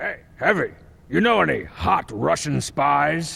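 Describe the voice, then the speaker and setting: A man's put-on character voice, raspy and fairly high, at a fairly slow pace. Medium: machinima. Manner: brash, mocking, loud.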